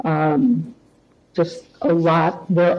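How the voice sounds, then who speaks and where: A woman speaks with a fairly low pitch. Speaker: public commenter. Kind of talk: public comment at meeting. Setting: township committee meeting.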